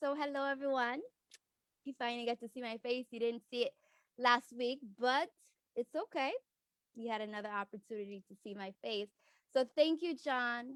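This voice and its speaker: A woman talks at a high pitch with ordinary pitch variation and long, frequent pauses. The sound is dry and close, with no echo. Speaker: forex trading educator. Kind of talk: online class. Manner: deliberately slow.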